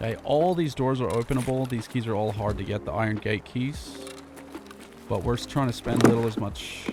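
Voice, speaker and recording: With music in the background, the man's voice stays at a medium pitch. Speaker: gaming video creator. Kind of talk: gameplay commentary. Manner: casual.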